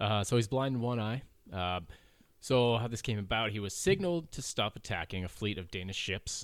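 A man's unremarkable speaking voice, medium in pitch, with a fairly quick pace and lively intonation on a very clean recording with a silent background. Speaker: podcast host. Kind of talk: casual banter podcast. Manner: jokey, interrupting.

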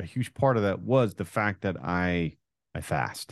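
A man with an American accent, an ordinary speaking voice, dry, close sound with no echo and a quiet background. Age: 40s. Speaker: entrepreneur and former football quarterback. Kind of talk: interview. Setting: video call.

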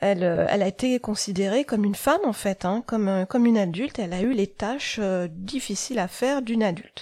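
A woman's dark, mellow tone at a fairly quick pace, on a very clean recording with a silent background. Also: medium pitch for a woman, ordinary pitch variation. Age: 40s. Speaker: podcast host and life coach. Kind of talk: solo podcast monologue. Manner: hesitant, many fillers.

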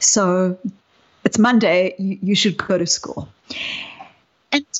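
A woman's medium-pitched voice with ordinary pitch variation, in a South African accent. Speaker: psychologist. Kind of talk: interview conversation.

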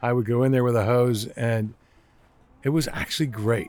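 In a plain, everyday voice, a man talks at a moderate pace and medium pitch with fairly even intonation. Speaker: retired intelligence analyst, zoo train conductor. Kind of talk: casual interview.

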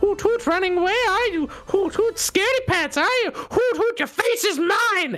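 In a put-on character voice of extremely high pitch, the speaker goes at a moderate pace over clear music in the background. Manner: mocking, taunting.

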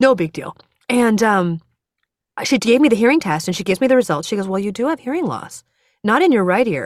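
Fairly high-pitched, a woman speaks at a very fast pace with very wide pitch swings and long, frequent pauses. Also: very clean recording, silent background. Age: 40s. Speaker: cancer and heart dissection survivor, musician. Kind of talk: interview.

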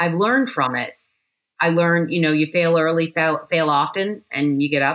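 At a moderate pace, a woman talks with a fairly low pitch and ordinary pitch variation. Her loudness stays very even. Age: 50s. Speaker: cybersecurity consultant, former defense official. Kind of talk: podcast interview. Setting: video call.

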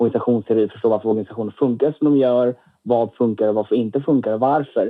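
A man with a medium pitch talks very quickly, his intonation fairly even. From Lund, Skåne, southern Sweden. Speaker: medical student and student union chair. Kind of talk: podcast interview.

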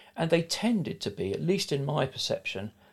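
A man speaks with very wide pitch swings and a somewhat breathy quality. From south London. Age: 60s. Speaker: podcast guest and producer. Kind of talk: casual interview.

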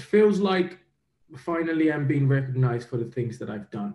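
A man with a somewhat breathy voice and a dark, mellow tone talks at a fairly quick pace. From Nigeria. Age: 30s. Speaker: professional boxer. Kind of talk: interview.

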